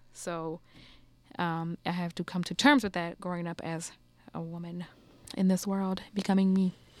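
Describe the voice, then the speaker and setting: A woman with a New Orleans accent, fairly low in pitch, at a moderate pace with fairly even intonation and long, frequent pauses, on a very clean recording with a silent background. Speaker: podcast host.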